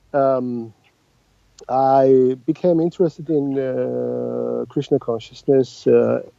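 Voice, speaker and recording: A man of medium pitch speaks with a Georgian accent. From Georgia (Tbilisi). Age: 50s. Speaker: translator and oncologist. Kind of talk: interview. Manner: halting.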